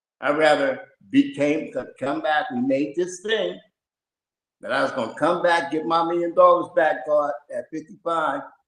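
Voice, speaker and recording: Using a normal speaking voice, a man talks with ordinary rises and falls in pitch. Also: fairly high pitch for a man, moderate pace. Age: 60s. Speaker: participant sharing spiritual experiences. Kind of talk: personal testimony.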